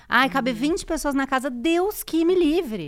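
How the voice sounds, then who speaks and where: In a very clean recording with a silent background, a woman speaks. Her pace is moderate and her intonation lively. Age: 40s. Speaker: podcaster and writer. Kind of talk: casual chat.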